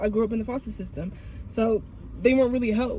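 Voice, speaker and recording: Speaking at a fairly quick pace, a woman with a fairly high pitch keeps her intonation fairly even. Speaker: host's best friend. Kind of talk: casual chat. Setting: in a car. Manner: fast.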